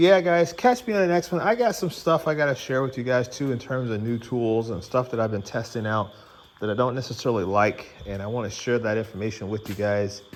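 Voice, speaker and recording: A man at medium pitch, talking at a fairly quick pace over noticeable background noise. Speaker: tool reviewer and car restorer. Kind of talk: casual vlog narration. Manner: casual, filler-heavy.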